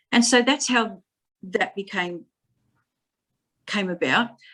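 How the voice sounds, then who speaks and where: A woman speaks with an Australian accent. Her pitch variation is ordinary. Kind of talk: interview. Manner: halting, word-finding pauses and repetitions.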